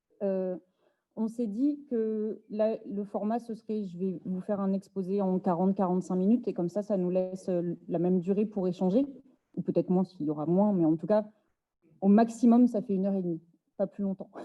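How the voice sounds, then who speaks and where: This woman has a plain, everyday voice with a medium pitch. She talks at a moderate pace. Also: ordinary pitch variation. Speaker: activist and speaker. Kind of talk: lecture.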